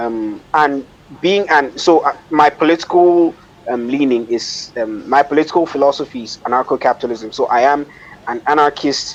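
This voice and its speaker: Moderately paced male speech, fairly high in pitch with ordinary variation, over noticeable background noise. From Nigeria. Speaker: economics commentator. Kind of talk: podcast interview. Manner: hesitant, many fillers.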